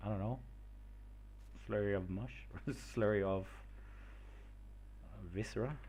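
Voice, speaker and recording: A man with a non-native accent speaks at a moderate pace, leaving long, frequent pauses. His loudness swings a lot, and room echo is audible. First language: not English. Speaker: streamer making homebrew game monsters. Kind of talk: casual live stream thinking aloud. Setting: live stream. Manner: hesitant, many filler words.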